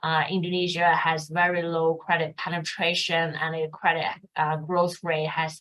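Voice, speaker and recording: A woman with a Mandarin accent talks at a fairly slow pace, her fairly low pitch staying monotone and flat. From China. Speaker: fund manager. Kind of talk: interview. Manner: hesitant with fillers.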